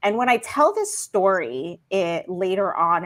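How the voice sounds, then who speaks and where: Lively intonation from a woman at medium pitch, fairly slow pace, very clean recording with a silent background. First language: non-English (learned English in school). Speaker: career coach and founder. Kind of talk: interview conversation.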